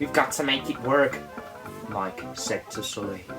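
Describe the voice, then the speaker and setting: The speaker is a man with a fairly high pitch. Music plays in the background. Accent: English Midlands. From English Midlands. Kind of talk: bedtime story read-aloud.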